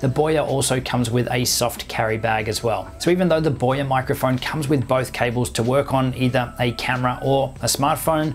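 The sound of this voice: Speech moves at a moderate pace with few pauses and ordinary pitch variation over clear background noise. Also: man, medium pitch for a man.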